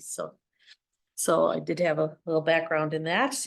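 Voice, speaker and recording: This woman talks at a moderate pace with an Upper Midwest US accent and a fairly low pitch. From Wisconsin, Holton area. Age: 60s. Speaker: parks committee member. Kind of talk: meeting introductions.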